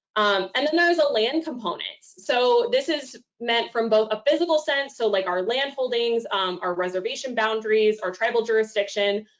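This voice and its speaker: A woman with a slight Oklahoma accent, lively intonation and a fairly quick pace. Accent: slight Oklahoma twang. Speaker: domestic violence outreach coordinator. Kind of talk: presentation talk. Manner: frequent fillers (um).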